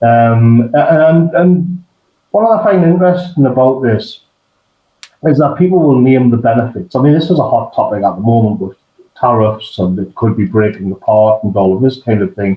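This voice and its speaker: A man talks at a moderate pace and a medium pitch. His voice is somewhat breathy, with very wide pitch swings. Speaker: online political commentator and writer. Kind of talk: interview conversation. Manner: halting, many fillers and restarts.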